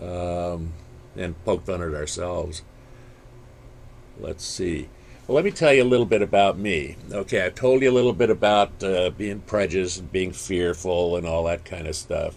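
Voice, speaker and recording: Pitch moves in an ordinary way. The speed is moderate. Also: man, very deep, low pitch for a man. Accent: American. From San Francisco Bay Area, California. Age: 70s. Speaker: talk show host. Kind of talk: monologue to audience. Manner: hesitant, many fillers.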